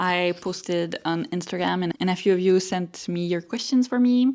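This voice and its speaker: A woman with a strong French-Canadian accent talks at a moderate pace and medium pitch, with ordinary pitch variation. The recording is very clean, with a silent background. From Quebec, Montreal. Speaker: artist and small business owner. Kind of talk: casual vlog monologue.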